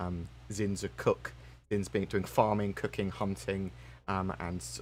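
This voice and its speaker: Over music in the background, a man with a fairly low pitch speaks in a lively intonation. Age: 30s. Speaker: gaming youtuber. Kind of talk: live stream chat. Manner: stutters, self-corrects; rambling, fast.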